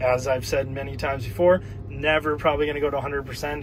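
A man at a fairly quick pace with ordinary pitch variation, dry sound with no echo and light background noise. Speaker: car owner vlogger. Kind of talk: tutorial. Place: car. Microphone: phone near.

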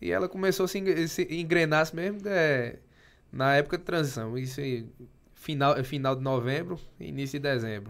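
The intonation is lively. The pace is moderate. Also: man, fairly high pitch for a man. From Pernambuco, Brazil. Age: 20s. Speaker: municipal finance secretary and businessman; podcast guest. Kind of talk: casual interview. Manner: halting, many repetitions. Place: studio. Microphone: studio mic.

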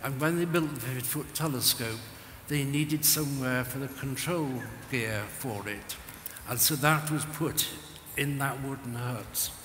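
With audible room echo and light background noise, a man talks at a fairly slow pace in a fairly high pitch and fairly even intonation. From England, Cheshire; England. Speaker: retired radio astronomy engineer. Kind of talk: interview on stage. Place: stage.

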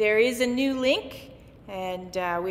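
A woman talks at a moderate pace with ordinary pitch variation. Light background noise sits behind her. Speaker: minister giving announcements. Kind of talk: church announcements.

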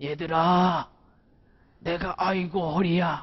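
In a raspy, put-on character voice at middle pitch, the speaker talks at a fairly slow pace in a monotone, flat intonation. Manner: creaky, aching.

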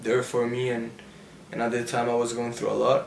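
There is audible room echo and light background noise. A man speaks at a moderate pace. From Mexico City. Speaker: YouTuber. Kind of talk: casual Q&A. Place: home room.

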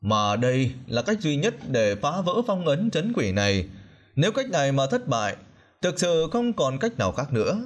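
Over a quiet background, a man with a fairly high pitch speaks at a fairly slow pace, his pitch swinging very widely while his loudness stays very even. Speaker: audiobook narrator. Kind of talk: reading aloud.

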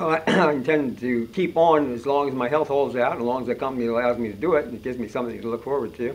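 Amid noticeable background noise, a man with a medium pitch talks at a very fast pace with hardly any pauses and ordinary pitch variation. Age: 80s+. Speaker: incinerator tour guide. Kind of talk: interview answer.

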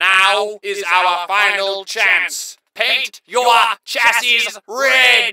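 A man puts on a character voice, pitched high and spoken very slowly. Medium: solo performance. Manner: cold, condescending, commanding.

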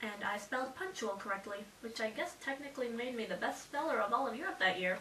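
Light background noise and audible room echo surround the recording. A woman talks at a very fast pace. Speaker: vlogger. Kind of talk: casual vlog storytelling. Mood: playful, slightly sheepish. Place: home room. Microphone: camera far.

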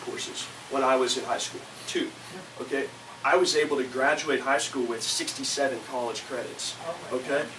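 A man speaks with an American accent in a fairly high register while noticeable background noise plays behind him. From Florida (Lake County). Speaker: political candidate. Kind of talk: candidate forum Q&A. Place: meeting room. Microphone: camera far.

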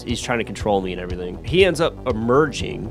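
A man talks in a fairly low register while music plays behind him. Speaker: movie reviewer. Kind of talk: casual movie review narration. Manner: casual, profane.

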